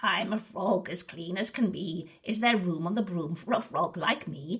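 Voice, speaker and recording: In a croaky put-on character voice, a woman speaks at a moderate pace and medium pitch. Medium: read story.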